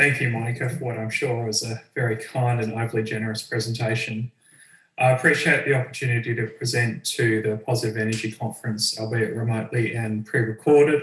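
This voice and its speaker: Speaking in an Australian accent, a man keeps a fairly quick pace. His intonation is monotone and flat. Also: medium pitch for a man. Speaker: researcher, adjunct professor. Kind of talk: pre-recorded presentation. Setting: pre-recorded video.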